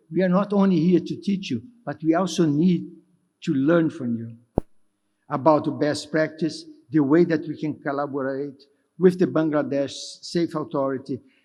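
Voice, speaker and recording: A man with a Brazilian accent speaks at a moderate pace in a dark, mellow tone, his pitch fairly high with ordinary variation. He takes long, frequent pauses. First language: Portuguese. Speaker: development finance executive. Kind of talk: conference speech. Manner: halting, with self-corrections.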